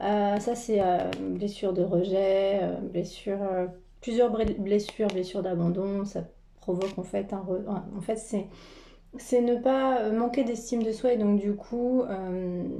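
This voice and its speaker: A woman at medium pitch with a dark, mellow tone, a very slow pace and fairly even intonation, with audible room echo. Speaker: tarot card reader and energy healer. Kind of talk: spiritual card reading. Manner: halting with many fillers.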